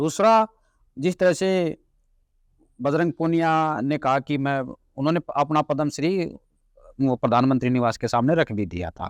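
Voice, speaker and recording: A man speaks with long, frequent pauses. The background is quiet. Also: fairly high pitch for a man. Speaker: journalist. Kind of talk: interview conversation.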